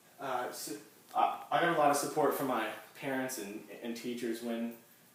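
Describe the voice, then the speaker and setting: A man at a medium pitch and moderate pace, with ordinary pitch variation, audible room echo and noticeable background noise. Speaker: university student and soldier. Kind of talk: class speech. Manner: halting, with repetitions and blocks.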